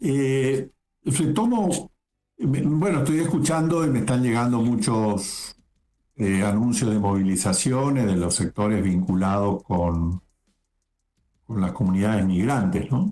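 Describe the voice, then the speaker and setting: Speaking at a fairly slow pace, a man uses a medium pitch and lively intonation. His tone is dark and mellow, and his loudness stays very even. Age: 60s. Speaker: lawyer, political commentator. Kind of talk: interview.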